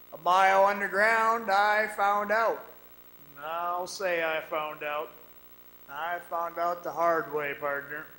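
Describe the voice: With audible room echo, a man uses a put-on character voice, high in pitch, bright and sharp in tone, with fairly even intonation at a slow pace.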